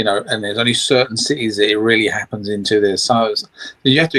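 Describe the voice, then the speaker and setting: With an English accent, a man speaks at medium pitch and ordinary pitch variation in a dry, close sound with no echo. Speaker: guest. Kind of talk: casual chat.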